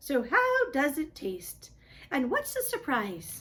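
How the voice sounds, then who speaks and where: A woman uses a put-on character voice, high in pitch. She speaks at a fairly slow pace. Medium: read story.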